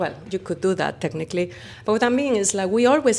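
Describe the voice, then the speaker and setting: A woman with a Spanish accent, lively intonation and vocal fry. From Spain. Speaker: company founder. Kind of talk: interview. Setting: conference.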